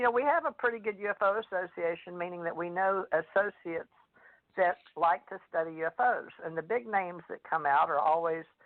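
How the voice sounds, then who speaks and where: A woman with a Southern US accent talks at a fairly quick pace. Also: medium pitch for a woman, ordinary pitch variation. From US South. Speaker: radio host and psychic author. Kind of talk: radio talk show chat.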